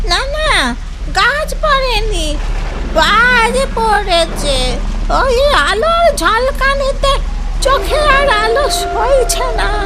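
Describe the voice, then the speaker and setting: A cartoonish character voice that sounds female speaks at a very slow pace over loud background noise. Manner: affectionate, rustic speech.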